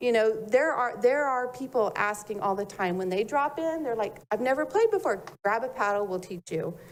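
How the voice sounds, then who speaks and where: Her high-pitched voice moves with lively intonation as the woman speaks. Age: 60s. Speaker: public commenter. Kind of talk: public comment at city meeting.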